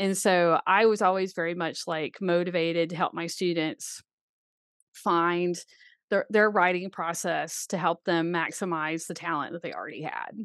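A woman speaks with an American accent at a fairly low pitch. Her intonation is monotone and flat, over a quiet background. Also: moderate pace. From US South, Birmingham, Alabama. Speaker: author and horse racing writer. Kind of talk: casual interview.

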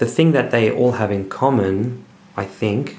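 In an Australian accent, a man talks at a medium pitch with ordinary pitch variation, and the room echo is audible. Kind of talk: casual interview.

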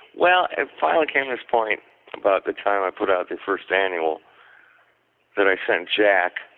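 Long, frequent pauses break up a man's speech, which otherwise holds a moderate pace. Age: 60s. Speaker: pinup historian and writer. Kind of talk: casual interview.

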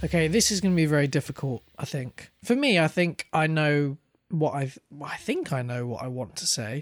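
At a moderate pace, a man with a British accent speaks at a fairly high pitch, in a dry, close sound with no echo and a very clean recording against a silent background. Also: ordinary pitch variation. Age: 20s. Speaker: podcast co-host. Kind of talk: casual chat.

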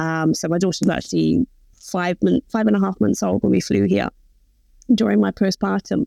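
A woman with an English accent speaks at a moderate pace in a very deep, low pitch, her tone dark and mellow with vocal fry. Her pitch swings very widely, and the sound is dry and close with no echo. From England. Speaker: postpartum doula and birth educator. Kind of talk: interview.

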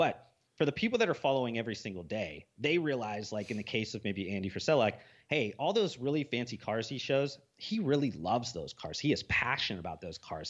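Very fast, lively speech with hardly any pauses against a quiet background. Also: man. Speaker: podcast host. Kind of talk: casual chat.

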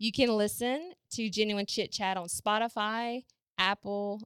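A woman speaks at a fairly slow pace with a medium pitch and fairly even intonation. The recording is very clean with a silent background and a dry, close sound with no echo. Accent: Southern US. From US South. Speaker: podcast host. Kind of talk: show introduction.

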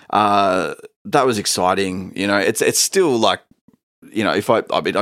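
In an Australian accent, a man with a fairly low pitch speaks at a fairly quick pace on a very clean recording with a silent background and a dry, close sound with no echo. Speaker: musician. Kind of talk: casual chat. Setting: studio.

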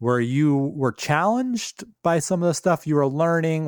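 A man speaks in an ordinary speaking voice at a moderate pace, with ordinary pitch variation and a dry, close sound with no echo on a very clean recording against a silent background. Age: 40s. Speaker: podcast host. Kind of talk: casual interview.

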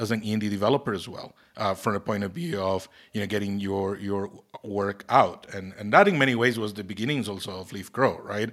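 Speaking with a Costa Rican accent, a man talks at a fairly quick pace in a fairly low voice with ordinary pitch variation, on a very clean recording with a silent background. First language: Spanish. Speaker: tech company CEO and podcast host. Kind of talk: casual chat. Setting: in an office. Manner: halting.

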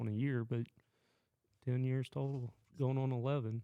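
With an Oklahoma accent and a dark, mellow tone, a man speaks at a moderate pace and medium pitch with fairly even intonation. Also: dry, close sound with no echo. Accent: Oklahoma rural Southern US. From southwest Oklahoma. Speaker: Marine Corps veteran. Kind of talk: casual chat.

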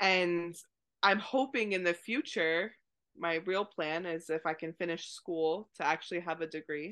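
A woman speaks with an American accent in an ordinary speaking voice. Her pitch is fairly low, and her pace is fairly slow. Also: ordinary pitch variation. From US, Maine. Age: 30s. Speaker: horse rehabilitation trainer. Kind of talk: interview.

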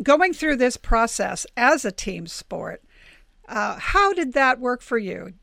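On a very clean recording with a silent background, the voice has a bright, sharp tone and very wide pitch swings at a fairly slow pace. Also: woman. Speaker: podcast host and publisher. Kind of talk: interview.

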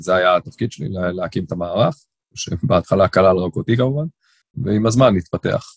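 A man's very deep, low voice with ordinary pitch variation at a moderate pace. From Israel, Tel Aviv (Ramat Aviv). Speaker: corporate lawyer. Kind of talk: interview. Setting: remote call. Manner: fluent talker.

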